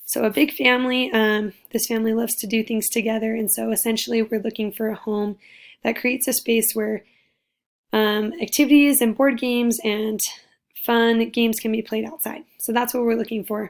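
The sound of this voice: A woman with a fairly high, raspy voice speaks at a moderate pace with little pitch movement.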